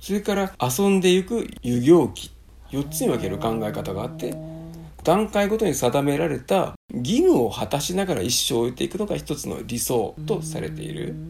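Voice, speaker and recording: Vocal fry runs through a man's voice as it swings very widely in pitch at a moderate pace. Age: 60s. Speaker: copywriting school teacher and podcast host. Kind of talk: book review chat.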